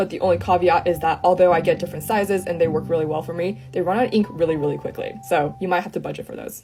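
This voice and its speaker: A woman with a fairly low pitch, talking at a very fast pace with hardly any pauses and ordinary pitch variation, music in the background. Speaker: artist. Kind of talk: art supplies talk to camera.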